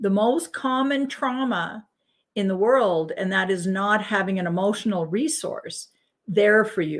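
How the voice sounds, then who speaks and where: With a Canadian accent, a woman speaks at a fairly high pitch with lively intonation on a very clean recording with a silent background. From Edmonton, Alberta, Canada. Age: 60s. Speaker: spiritual healing guest. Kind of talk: radio interview. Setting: radio show.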